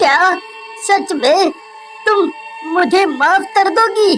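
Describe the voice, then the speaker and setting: A put-on character voice sits at an extremely high pitch. It moves at a very slow pace with clear background noise. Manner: stuttering, pleading.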